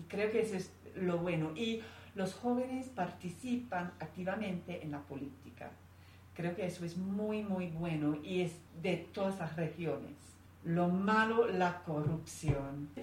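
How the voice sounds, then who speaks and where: An English accent at a fairly slow pace with ordinary pitch variation, plus noticeable background noise and audible room echo. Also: woman, fairly low pitch for a woman. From England. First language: English (speaking Spanish). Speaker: interview guest. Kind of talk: interview conversation.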